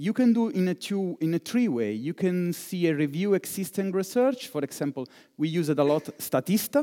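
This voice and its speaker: In an Italian accent, a man with a high pitch and a dark, mellow tone talks at a moderate pace with very wide pitch swings, on a very clean recording with a silent background and a dry, close sound with no echo. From Italy. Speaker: digital fundraiser. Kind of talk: conference keynote. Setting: conference hall with live audience.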